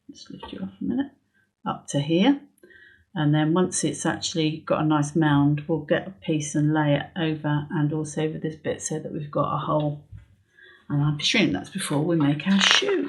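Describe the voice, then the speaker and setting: A woman's very deep, low, somewhat breathy voice at a moderate pace, with ordinary pitch variation and big swings in loudness, on a very clean recording with a silent background. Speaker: needle felting instructor. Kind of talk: tutorial. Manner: casual, hesitant with fillers; soft-spoken, whispering at times.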